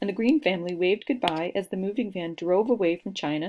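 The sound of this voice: The reading voice is unforced. Pitch varies in an ordinary way.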